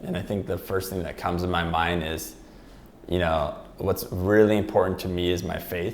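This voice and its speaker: A man with a very deep, low voice talks at a medium speed, his pitch varying normally, while background noise is clearly heard. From Philippines, Manila. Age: 30s. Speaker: real estate team leader. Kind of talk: interview conversation.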